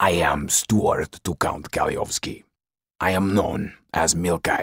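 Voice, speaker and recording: A man puts on a growling character voice with a very deep, low pitch. He speaks at a fairly slow pace. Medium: read story. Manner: curt, cold, commanding.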